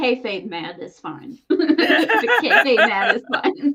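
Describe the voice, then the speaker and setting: Noticeable background noise sits behind the speaker. She is a woman with a high pitch. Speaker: podcast co-host. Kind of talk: casual chat.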